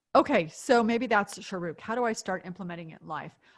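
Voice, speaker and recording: In an ordinary speaking voice, a woman talks at a medium pitch with ordinary pitch variation. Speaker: author and business thinker. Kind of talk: webinar Q&A.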